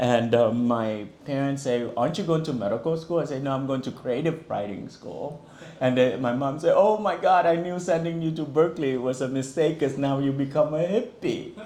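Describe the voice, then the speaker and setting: Speaking with a Vietnamese accent, a man with a fairly high pitch and ordinary pitch variation keeps a moderate pace with hardly any pauses, and room echo is audible. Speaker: author. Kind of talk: book talk and reading. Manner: casual, conversational with fillers.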